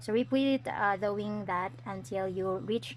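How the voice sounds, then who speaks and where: A woman with a Filipino accent speaks at a very slow pace. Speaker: crochet tutorial vlogger. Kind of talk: tutorial. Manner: hesitant, many fillers.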